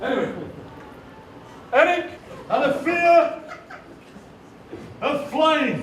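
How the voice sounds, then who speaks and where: With music playing behind him and audible room echo, a man with an extremely high pitch talks at a very slow pace, leaving long, frequent pauses. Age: 60s. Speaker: poet. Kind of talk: live workshop performance. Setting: stage with audience. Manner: animated.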